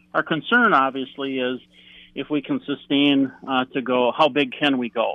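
This man has a normal speaking voice at a medium pitch, talking at a moderate pace. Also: ordinary pitch variation. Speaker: shooting team coach and father. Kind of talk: interview. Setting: phone or video call.

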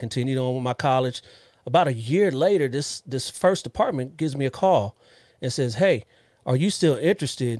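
A man with an American accent speaks in a normal speaking voice with lively intonation at a fairly quick pace, in a dry, close sound with no echo. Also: medium pitch for a man. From US West Coast, Los Angeles area. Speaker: police officer and podcast host. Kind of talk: casual interview chat.

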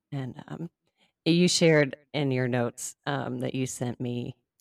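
In a very clean recording with a silent background and a dry, close sound without echo, a woman speaks at a very deep, low pitch with fairly even intonation. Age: 40s. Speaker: podcast host. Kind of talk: casual interview chat.

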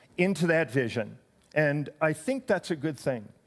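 A man with a fairly high pitch has an unremarkable speaking voice and lively intonation. He talks at a moderate pace on a very clean recording with a silent background. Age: 60s. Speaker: senior pastor. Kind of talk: sermon.

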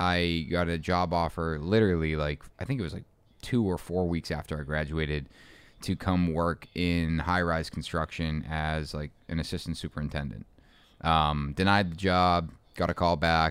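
A man's very deep, low voice at a moderate pace, with fairly even intonation, on a very clean recording with a silent background. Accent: American. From Boston. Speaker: custom home builder and business owner. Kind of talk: casual interview.

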